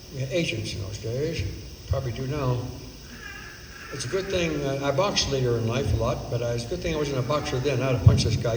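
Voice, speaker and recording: A man with an American accent speaks at a fairly quick pace, his medium pitch carried by lively intonation. Audible room echo and noticeable background noise fill the recording. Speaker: voice actor. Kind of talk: storytelling. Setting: stage with audience. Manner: animated.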